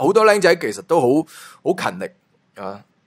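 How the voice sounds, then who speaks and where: Animated in tone, a man talks at a fairly quick pace. His pitch swings very widely. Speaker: entertainment gossip YouTuber. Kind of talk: casual commentary monologue.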